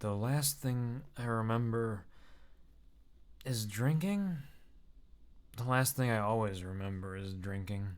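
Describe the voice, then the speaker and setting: A man's mumbling, put-on character voice at medium pitch, fairly slow pace with long, frequent pauses and ordinary pitch variation. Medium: read story.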